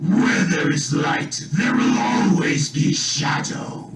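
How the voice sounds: Using a put-on character voice, a man with a fairly high pitch speaks at a very slow pace over loud background noise and a clear echo.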